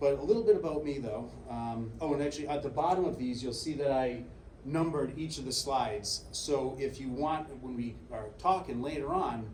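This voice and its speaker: A man talks at a medium pitch with ordinary pitch variation. Room echo is audible and background noise is noticeable. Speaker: sheriff. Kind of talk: lecture. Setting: stage with audience. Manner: soft-spoken.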